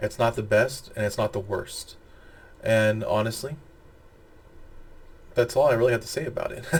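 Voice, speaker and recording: The man talks at a moderate pace. He leaves long, frequent pauses. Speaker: pop culture video reviewer. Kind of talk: casual video review monologue. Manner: halting, stumbles over words.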